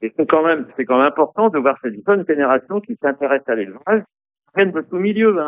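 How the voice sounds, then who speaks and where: Pitch swinging very widely, a man speaks at a fairly quick pace. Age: 70s. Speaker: horse breeders' federation president. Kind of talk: radio interview. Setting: racecourse hall.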